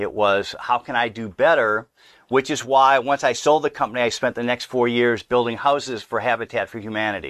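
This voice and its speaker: A man with a normal speaking voice and an American accent, at a fairly quick pace and medium pitch, with fairly even intonation, a dry, close sound with no echo and a quiet background. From US Midwest, Milwaukee, Wisconsin. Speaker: entrepreneur and speaker. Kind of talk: interview conversation. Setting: studio.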